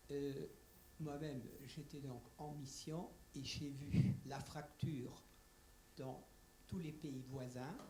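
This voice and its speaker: At a very slow pace, a man speaks in a fairly high, somewhat breathy voice with a dark, mellow tone. His intonation is fairly even, and audible room echo fills the space. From Germany. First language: German (speaking French). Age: old. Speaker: audience member, retired diplomat. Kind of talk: audience question. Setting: conference room, roving microphone.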